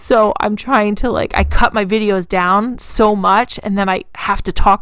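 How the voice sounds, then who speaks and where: A woman has an ordinary speaking voice with a medium pitch and a fairly slow pace. The recording is very clean, with a silent background. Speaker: DIY craft YouTuber. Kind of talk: tutorial voiceover.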